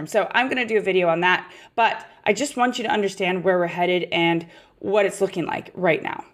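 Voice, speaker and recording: At a fairly quick pace, a woman uses a raspy, put-on character voice at medium pitch with ordinary pitch variation. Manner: explaining, matter-of-fact.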